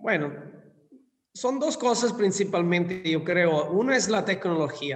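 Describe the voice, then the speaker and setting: In an Italian accent, a man speaks with a high pitch and lively intonation at a fairly slow pace. His loudness stays very even, and room echo is audible. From southern Italy (Scilla, Calabria). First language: Italian (speaking Spanish). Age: 50s. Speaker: hotel industry executive. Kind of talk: interview.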